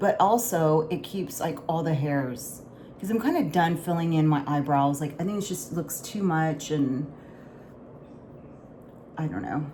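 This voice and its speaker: With an American accent, a woman speaks fairly slowly at a very deep, low pitch, her tone dark, mellow and somewhat breathy, her pitch varying in an ordinary way, with long, frequent pauses. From Houston, Texas. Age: 40s. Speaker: lifestyle vlogger. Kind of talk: casual makeup talk to camera.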